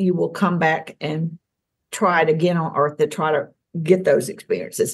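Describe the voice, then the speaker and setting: The speaker has a Southern US accent and a somewhat breathy voice, moving at a fairly slow pace with ordinary pitch variation. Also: woman. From US South, Tennessee. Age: 60s. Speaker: alien contactee. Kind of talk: interview.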